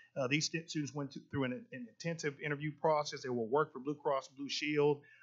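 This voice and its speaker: A man is talking. His pitch is fairly high. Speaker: school district administrator. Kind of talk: presentation at a board meeting. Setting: public board meeting. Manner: fast; animated, with many repetitions.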